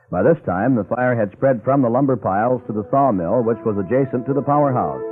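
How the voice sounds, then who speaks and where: A man at a medium pitch, fairly quick pace and ordinary pitch variation, an ordinary speaking voice. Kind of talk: vintage radio history narration. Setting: old radio broadcast, restored from cassette.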